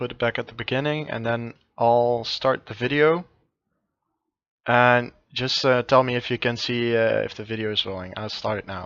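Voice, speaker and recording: A man with a non-native accent speaks at a moderate pace. His intonation is fairly even, and the background is quiet. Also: medium pitch for a man. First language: not English. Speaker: game coach. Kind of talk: coaching session. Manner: halting.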